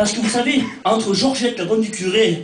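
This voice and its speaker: Against noticeable background noise and audible room echo, a man speaks at an extremely high pitch. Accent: Auvergne. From France, Cantal (rural central France). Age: 20s. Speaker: stand-up comedian. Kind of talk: stand-up.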